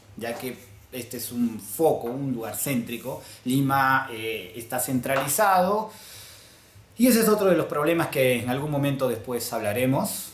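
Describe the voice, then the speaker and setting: Over noticeable background noise, a man with a medium-pitched voice speaks at a fairly slow pace with lively intonation. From Lima, Peru. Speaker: vlogger. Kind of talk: casual talk to camera.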